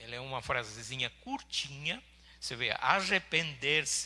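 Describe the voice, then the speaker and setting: With a non-native accent, a man speaks at a fairly high pitch in a bright, sharp tone. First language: not Portuguese (speaking Portuguese). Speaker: pastor. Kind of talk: sermon. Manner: halting.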